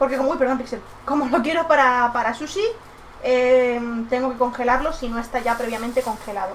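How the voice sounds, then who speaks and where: A woman's high voice at a moderate pace, ordinary pitch variation, light background noise behind it. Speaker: home vlogger. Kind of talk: casual vlog chat. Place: home room. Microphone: webcam.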